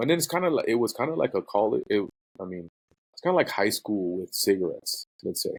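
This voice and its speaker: Dry and close with no echo, the recording has a man speaking quickly at a medium pitch with an American accent. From US West Coast, East Los Angeles. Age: 40s. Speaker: print graphics director. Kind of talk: casual podcast chat. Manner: casual, halting with fillers.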